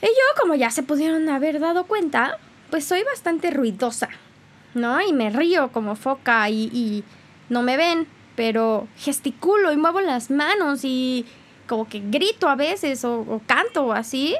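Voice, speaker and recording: This woman has an animated tone and a high pitch with very wide pitch swings. She talks at a fairly slow pace. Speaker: podcast host. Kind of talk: casual monologue. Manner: loud.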